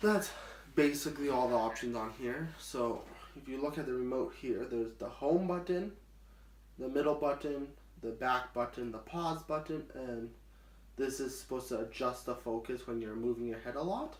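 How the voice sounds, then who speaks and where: A man speaks in an unremarkable speaking voice at a medium pitch. His pace is moderate and his pitch variation ordinary. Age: 20s. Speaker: blind vlogger. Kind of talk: casual product demo to camera.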